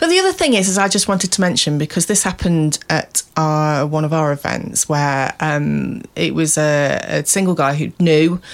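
Speaking at a moderate pace with a British accent, the voice keeps a very even loudness and leaves hardly any pauses. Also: woman. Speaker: podcast co-host. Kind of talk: casual chat. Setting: studio.

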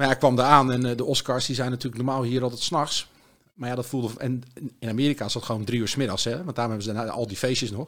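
A medium-pitched man's voice at a very fast pace with fairly even intonation. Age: 50s. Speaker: music journalist. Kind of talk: casual chat.

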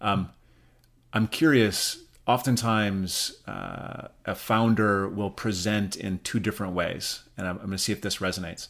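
A man speaks at a moderate pace in a normal speaking voice, with an American accent. His pitch sits fairly low, and his intonation stays fairly even. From US Midwest, Rapid City, South Dakota. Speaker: podcast co-host. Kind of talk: interview.

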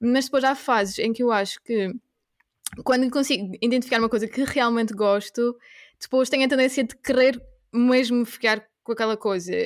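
High-pitched speech from a woman at a moderate pace, her intonation fairly even. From Portugal. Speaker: veterinary graduate turned coworking host. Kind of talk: casual interview chat.

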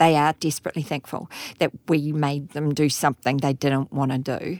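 A woman's very deep, low voice at a fairly quick pace with fairly even intonation, dry and close with no echo, on a very clean recording with a silent background. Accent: New Zealand. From New Zealand, Auckland. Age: 50s. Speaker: insurance company chief executive. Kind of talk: interview.

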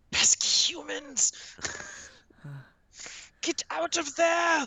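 Putting on a character voice, a woman speaks at a very slow pace with an extremely high pitch. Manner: whispering, annoyed.

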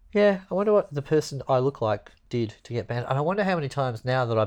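A man with an Australian accent, medium pitch, lively intonation and a very fast pace, against a quiet background. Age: 40s. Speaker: podcast co-host. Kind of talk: casual chat. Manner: jokey, laughing.

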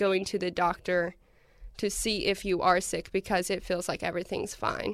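A woman with an Appalachian accent speaks at a moderate pace in a very clean recording with a silent background. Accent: Appalachian American. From Eastern Kentucky. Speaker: university student. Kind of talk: interview.

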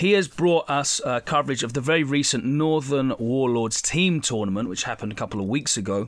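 A man with an ordinary speaking voice talks at a fairly quick pace with lively intonation. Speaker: podcast host. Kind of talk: casual podcast intro.

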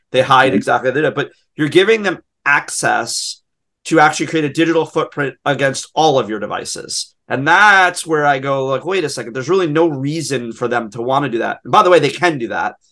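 Here is a man with an unremarkable speaking voice, fairly high in pitch. He moves at a fairly quick pace with ordinary pitch variation. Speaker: podcast host. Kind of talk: casual chat.

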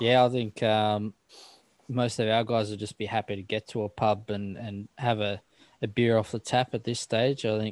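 A man's fairly low, monotone and flat delivery with an Australian accent at a moderate pace, dry and close with no echo, on a very clean recording with a silent background. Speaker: podcast host. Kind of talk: casual chat.

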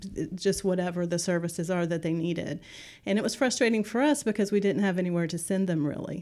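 In a very clean recording with a silent background, a woman with an American accent talks at a very fast pace, her dark, mellow tone set at fairly low pitch with ordinary pitch variation. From West Virginia, Kanawha Valley. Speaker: nonprofit executive director. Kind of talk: interview.

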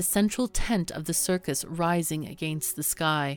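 A woman with a plain, everyday voice talks at a moderate pace and fairly low pitch with ordinary pitch variation, in a very clean, dry, close recording with no echo and a silent background. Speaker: podcast narrator. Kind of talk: true-crime documentary narration. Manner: grave, measured storytelling with solemn, steady pacing.

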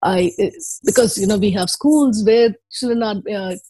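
Somewhat breathy, this woman speaks at a fairly high pitch with a dark, mellow tone. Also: dry, close sound with no echo. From Chennai, India. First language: Tamil. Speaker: educationist and company founder. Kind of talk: interview answers, reflective.

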